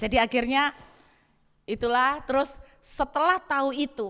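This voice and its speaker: Her voice is high-pitched, with a bright, sharp tone. The woman's pitch varies in an ordinary way. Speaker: pastor. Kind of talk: sermon.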